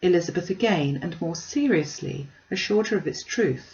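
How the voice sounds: At a moderate pace, a slightly mellow tone carries lively intonation through audible room echo. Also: woman.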